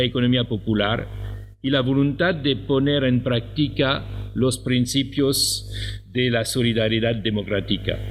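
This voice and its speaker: A man with a non-native accent speaks at a medium pitch and a fairly slow pace. Audible room echo surrounds his voice. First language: French (speaking Spanish). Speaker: professor. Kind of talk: conference talk. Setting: conference hall.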